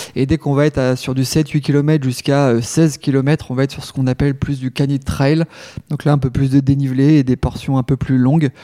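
Speaking at a fairly quick pace, a man with a fairly high pitch and a dark, mellow tone keeps a monotone, flat intonation, heard in a dry, close sound with no echo. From Normandy, France (Rouen). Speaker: canicross champion athlete. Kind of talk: interview, casual chat. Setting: at his home.

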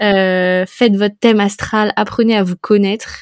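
Dry and close with no echo, a woman's voice stays at a medium pitch with monotone, flat intonation. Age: 20s. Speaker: travel and spirituality podcaster. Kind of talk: casual interview. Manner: hesitant, many fillers.

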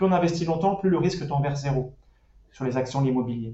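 The voice is somewhat breathy, with fairly even intonation and audible room echo. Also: man. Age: 30s. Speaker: personal finance website creator. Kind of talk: casual interview. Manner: hesitant with fillers.

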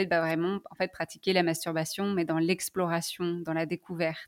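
In a very clean recording with a silent background and a dry, close sound free of echo, a woman speaks at a fairly low pitch with monotone, flat intonation. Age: 20s. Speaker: sex therapist. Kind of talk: testimony. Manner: halting, many fillers.

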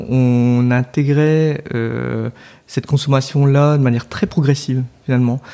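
With a dark, mellow tone and a medium pitch, a man speaks at a fairly slow pace with fairly even intonation. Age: 30s. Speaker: entrepreneur, co-founder of a soap shop. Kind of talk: interview conversation. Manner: hesitant, many fillers and repetitions.

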